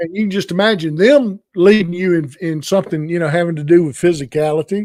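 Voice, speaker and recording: The sound is dry and close with no echo as a man talks at a high pitch and a fairly quick pace. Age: 60s. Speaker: podcast host. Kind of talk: casual chat. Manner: halting.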